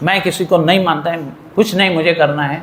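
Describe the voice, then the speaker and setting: An animated tone at a moderate pace, with audible room echo and noticeable background noise. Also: man. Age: 80s+. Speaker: spiritual teacher. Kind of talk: sermon.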